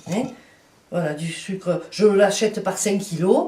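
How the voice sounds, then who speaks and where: A woman with a Provençal accent talks at a very slow pace over noticeable background noise. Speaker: home cook. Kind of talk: cooking demonstration.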